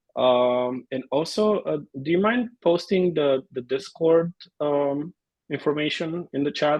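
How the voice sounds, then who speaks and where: Speaking with a Bulgarian accent, a man talks at a fairly slow pace in a fairly high pitch with ordinary pitch variation. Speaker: amateur photographer. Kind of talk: casual introduction in video meeting.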